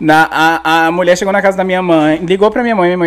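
A man is speaking. He talks at a very fast pace. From Brasília satellite cities, Brazil. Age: 20s. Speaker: comedian. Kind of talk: casual chat.

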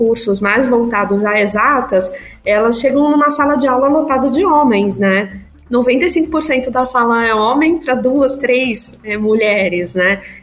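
A woman's high-pitched voice at a fairly slow pace, with ordinary pitch variation, very even loudness and audible room echo. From São Paulo, Brazil. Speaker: agile coach. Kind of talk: interview conversation.

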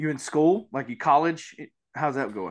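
A man with a Mississippi accent and a fairly high pitch, lively intonation, at a moderate pace. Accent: Southern US, Mississippi.

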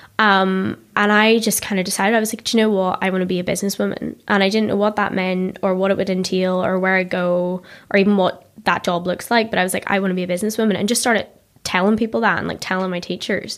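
Speaking very fast in a Northern Irish accent, a woman keeps a monotone, flat intonation. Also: medium pitch for a woman. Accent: Ballymena, Northern Irish. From Northern Ireland, Ballymena. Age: 20s. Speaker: tech marketer and startup founder. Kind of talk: casual interview chat. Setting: studio.

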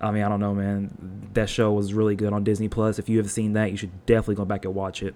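A man's fairly low, dark, mellow voice with fairly even intonation. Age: 20s. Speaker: podcast host. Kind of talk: casual monologue. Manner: rambling, many fillers.

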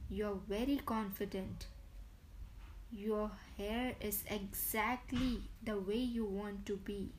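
Very slowly and with long, frequent pauses, a woman speaks in a soothing, calm tone, somewhat breathy, at medium pitch with monotone, flat intonation. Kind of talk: guided meditation. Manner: slow, soothing, calm, gently paced with repeated relaxing cues.

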